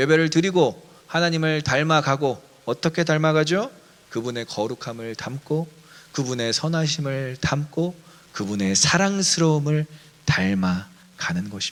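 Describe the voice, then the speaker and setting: With lively intonation and fairly high pitch, a man speaks at a fairly slow pace. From Daejeon, Chungcheong, South Korea. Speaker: pastor. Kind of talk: sermon. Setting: online church service.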